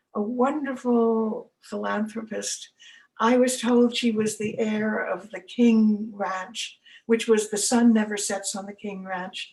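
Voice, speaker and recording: With an American accent, this somewhat breathy voice moves at a very slow pace in a monotone, flat intonation while its loudness swings widely. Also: woman, fairly high pitch for a woman. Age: 80s+. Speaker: elder giving a talk / storyteller. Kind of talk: casual talk to camera, autobiographical storytelling.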